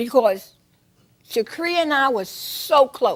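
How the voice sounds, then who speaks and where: This woman has a high pitch and lively intonation. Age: 60s. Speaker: defendant in a small claims court show. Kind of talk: courtroom testimony. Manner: halting.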